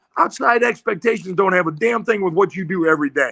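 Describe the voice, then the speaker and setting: An animated, raised and projected male voice in an American accent, bright and sharp in tone, with ordinary pitch variation at a fairly quick pace. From Iowa (Iowa City). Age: 70s. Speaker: retired football coach. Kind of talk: podcast interview.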